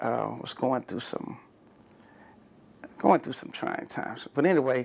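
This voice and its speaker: With an American accent, a man speaks at a medium pitch and a moderate pace, his pitch varying in an ordinary way. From Texas, San Antonio. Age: 60s. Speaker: navy veteran. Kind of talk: oral history interview. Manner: halting.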